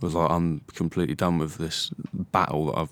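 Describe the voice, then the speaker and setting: A man speaks in a very deep, low voice with a southern English accent. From southern England, Hertfordshire. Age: 20s. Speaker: mixed martial arts fighter. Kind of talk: casual interview.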